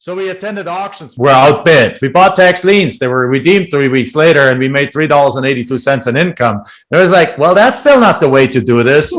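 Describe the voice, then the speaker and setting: A man with a fairly high pitch and lively intonation, at a fairly quick pace with hardly any pauses. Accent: German. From Germany. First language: German. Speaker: real estate investor. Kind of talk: podcast interview.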